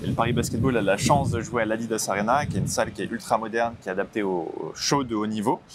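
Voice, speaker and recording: A man speaks very fast in a fairly low voice, his intonation staying fairly even. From Île-de-France, France. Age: 20s. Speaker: sports club ticketing manager. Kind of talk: casual interview.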